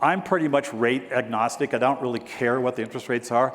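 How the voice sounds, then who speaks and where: This man has a plain, everyday voice at medium pitch. He speaks at a fairly quick pace. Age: 60s. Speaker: real estate broker and keynote speaker. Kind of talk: keynote speech. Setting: stage with audience.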